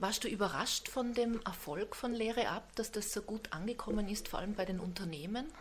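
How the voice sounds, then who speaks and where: This woman talks at a fairly quick pace with a fairly high pitch, ordinary pitch variation and hardly any pauses. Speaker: podcast host. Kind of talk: interview.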